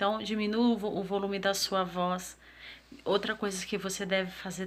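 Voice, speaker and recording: At a fairly slow pace, a woman speaks with a bright, sharp tone at a medium pitch. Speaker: self-development vlogger. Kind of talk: motivational talk to camera.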